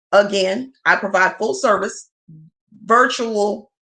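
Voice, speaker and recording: A loud woman with an American accent speaks at a fairly slow pace in a bright, sharp, animated tone at a medium pitch against a quiet background. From US South. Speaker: accountant and tax preparer. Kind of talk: livestream talk to viewers.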